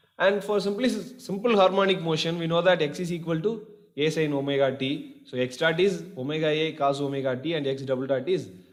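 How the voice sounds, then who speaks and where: A man's fairly high voice, fairly quick and lively in intonation, with audible room echo. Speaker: engineering lecturer. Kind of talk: lecture.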